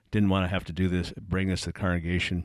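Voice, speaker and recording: This man's voice sits at a very deep, low pitch. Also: very clean recording, silent background. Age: 60s. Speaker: ministry consultant and former interim pastor. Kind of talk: congregational Q&A meeting. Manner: halting, many fillers.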